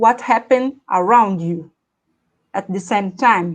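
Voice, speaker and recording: The background stays quiet. Against it, a woman talks at a very slow pace. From Brazil. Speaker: English learner. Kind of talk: casual chat. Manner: halting.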